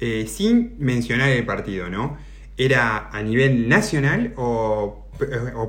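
A man with an Argentine accent talks over noticeable background noise, with audible echo in the room. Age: 30s. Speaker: podcast host. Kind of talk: interview.

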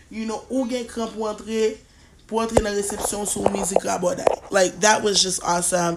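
Noticeable background noise sits behind a woman speaking at a fairly quick pace. Her fairly high voice keeps a fairly even intonation. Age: 30s. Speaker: podcast host. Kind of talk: casual monologue. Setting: sitting in a recliner.

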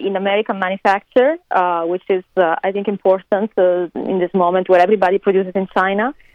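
A woman's medium-pitched voice with an Italian accent. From Italy. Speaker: interview guest, fashion designer. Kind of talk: interview. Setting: remote call from California.

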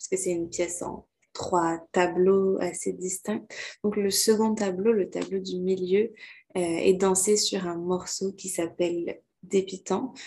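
This woman has a medium pitch and a dark, mellow tone. She speaks very slowly with fairly even intonation. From Quebec. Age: 20s. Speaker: dancer and choreographer. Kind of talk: interview.

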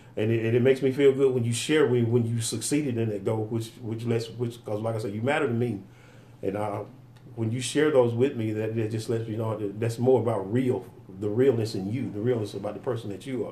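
A man's medium-pitched, dark and mellow voice, somewhat breathy, at a very fast pace with fairly even intonation and audible room echo. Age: 50s. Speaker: podcast co-host. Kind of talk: casual chat. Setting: studio.

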